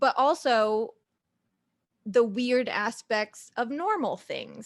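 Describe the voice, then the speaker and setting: At a fairly slow pace, a woman speaks with an American accent and ordinary pitch variation. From Southern Illinois, US. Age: 30s. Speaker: podcast host and producer. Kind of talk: casual interview self-introduction.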